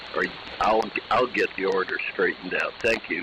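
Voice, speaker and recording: Man's voice amid noticeable background noise. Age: 80s+. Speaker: ham radio operator. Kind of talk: amateur radio round table. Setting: amateur radio transmission.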